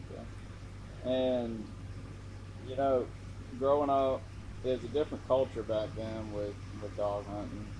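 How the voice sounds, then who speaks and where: A dark, mellow, somewhat breathy voice with an American accent, moderate pace, fairly even intonation, big swings in loudness and long, frequent pauses. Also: man, medium pitch for a man. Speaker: interviewer. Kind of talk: interview question.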